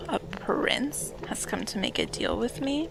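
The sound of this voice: A woman uses a put-on character voice at a fairly high pitch, with vocal fry and very wide pitch swings. She speaks at a fairly slow pace.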